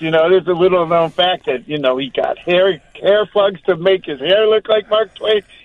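A high-pitched man with an American accent. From Chicago North Shore. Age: 70s. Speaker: theater producer. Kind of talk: casual chat.

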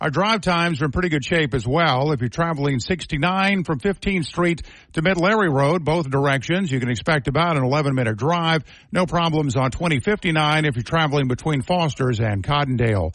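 A plain, everyday voice from a man, fairly high in pitch, with lively intonation, a moderate pace and a quiet background. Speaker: traffic reporter. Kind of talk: traffic report.

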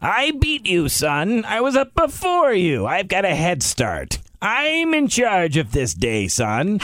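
Doing a put-on character voice, a man talks at a fairly slow pace with hardly any pauses, his pitch high and swinging very widely. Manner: smug, gloating.

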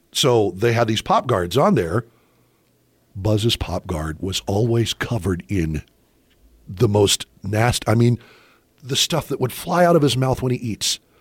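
At a fairly slow pace, a man with a medium-pitched, somewhat breathy voice speaks with lively intonation and long, frequent pauses. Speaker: radio voice talent. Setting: studio. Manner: jokey, laid-back.

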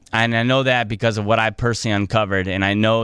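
A man with an American accent, very fast pace and fairly even intonation. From Illinois. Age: 30s. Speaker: private investigator. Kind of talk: radio interview. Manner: halting.

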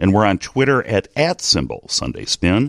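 Vocal fry marks a man's speech, which has lively intonation at a moderate pace. The sound is dry and close, with no echo. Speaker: radio political talk show host. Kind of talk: radio interview show. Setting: radio studio.

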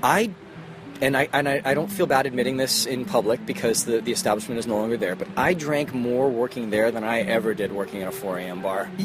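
Against noticeable background noise, a man talks at a very fast pace with very wide pitch swings. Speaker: touring musician. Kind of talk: casual chat. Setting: outdoors.

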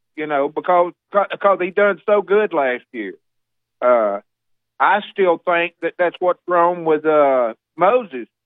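Speaking very slowly in a Southern US accent, a man uses a high voice with lively intonation. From Alabama. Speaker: caller. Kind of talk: casual chat. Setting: phone call.

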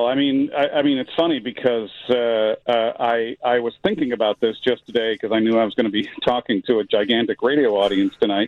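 A man with an American accent has an ordinary speaking voice and a medium pitch. He talks at a fairly quick pace with fairly even intonation and hardly any pauses. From Chicago. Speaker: artist and screenwriter. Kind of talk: radio phone interview. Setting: phone call.

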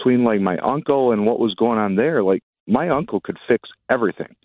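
A man with a plain, everyday voice and an American accent talks at a medium pitch and a moderate pace. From Wisconsin (Fond du Lac). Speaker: caller. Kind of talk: call-in radio.

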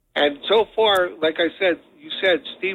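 A man with a New Jersey accent speaks at a fairly slow pace. His voice sits high in pitch, with ordinary pitch variation. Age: 60s. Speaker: paralyzed former football player. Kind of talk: interview. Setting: phone call.

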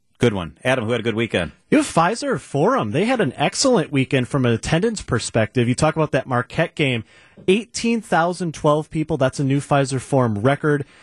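Recorded dry and close with no echo against a quiet background, a man with a fairly high, somewhat breathy voice speaks at a moderate pace with lively intonation. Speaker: radio host. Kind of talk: live radio talk show banter. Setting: radio studio.

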